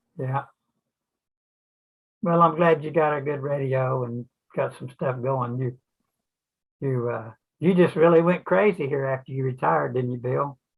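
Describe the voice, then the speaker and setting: A man talks at a moderate pace with long, frequent pauses. His medium-pitched voice is somewhat breathy, with ordinary pitch variation. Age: 80s+. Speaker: retired engineer, amateur radio operator. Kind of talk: casual chat.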